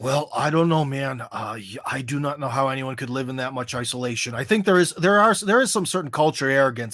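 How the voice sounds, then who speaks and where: On a very clean recording with a silent background, a man with an American accent speaks at a fairly high pitch with ordinary pitch variation. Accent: American accent, noticeable in Russian. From USA. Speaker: American expat commentator on Russia. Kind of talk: podcast interview. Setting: live stream. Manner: loud; casual, many fillers.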